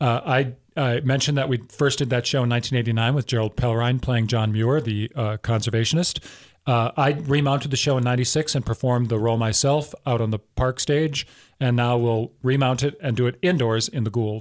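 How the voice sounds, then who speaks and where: A man with an American accent and an unremarkable speaking voice, medium in pitch, at a fairly quick pace with fairly even intonation and very even loudness, on a very clean recording with a silent background. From southern Wisconsin. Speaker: theater artistic director. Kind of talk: radio interview. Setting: radio studio.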